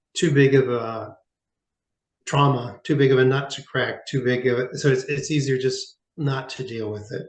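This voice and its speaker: Somewhat breathy, a man speaks at a fairly high pitch and a fairly slow pace. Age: 60s. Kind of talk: interview testimony. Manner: halting, many fillers.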